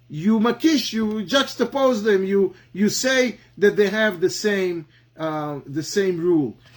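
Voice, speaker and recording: A man with an Israeli accent speaks at a very slow pace. His high-pitched voice has lively intonation. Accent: Hebrew. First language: Hebrew. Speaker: Talmud teacher. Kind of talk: lecture. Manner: halting, many fillers and repetitions.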